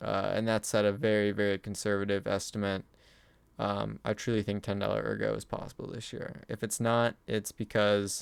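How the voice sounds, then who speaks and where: Over a silent background in a very clean recording, a man speaks at a moderate pace in a flat monotone, his pitch fairly low. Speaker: crypto YouTuber. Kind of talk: casual video commentary. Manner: many filler words.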